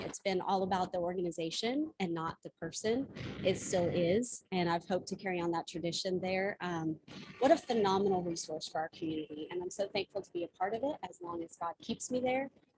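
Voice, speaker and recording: With an American accent, a woman speaks in a somewhat breathy, medium-pitched voice with ordinary pitch variation, the sound dry and close with no echo. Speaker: executive director of a food charity. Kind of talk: talk to a service club. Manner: fast.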